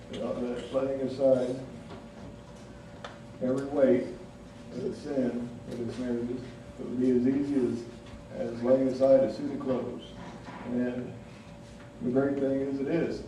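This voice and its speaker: Delivered in an American accent, the speech is fairly slow and monotone, with flat intonation, long, frequent pauses and noticeable background noise. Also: man, medium pitch for a man. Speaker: preacher. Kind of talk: sermon to a congregation.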